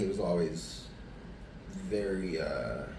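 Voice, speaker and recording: Over noticeable background noise and audible room echo, a man with an American accent speaks with very wide pitch swings. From Arizona, Tucson. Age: 40s. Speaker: person in addiction recovery. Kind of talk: interview testimony. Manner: casual, many fillers.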